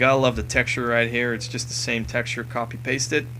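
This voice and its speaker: A man talks over noticeable background noise. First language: not English. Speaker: gaming commentator. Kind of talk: game walkthrough commentary. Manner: casual, with fillers.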